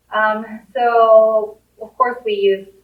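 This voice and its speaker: A woman speaks with a Japanese accent. Her pitch is medium. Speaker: safety coordinator. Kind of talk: career talk interview.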